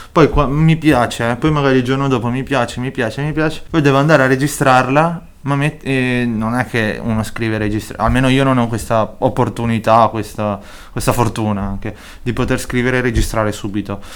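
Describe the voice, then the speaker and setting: At a fairly quick pace, a man with a Spanish accent speaks at a medium pitch that varies in an ordinary way. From Chile, moved to Italy as a teen. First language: Spanish (speaking Italian). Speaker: rapper. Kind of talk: interview.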